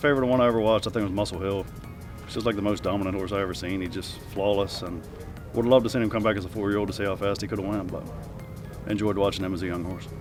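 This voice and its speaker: With music in the background and audible room echo, a man speaks at a very fast pace with fairly even intonation. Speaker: harness racing driver and trainer. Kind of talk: interview Q&A. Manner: soft-spoken.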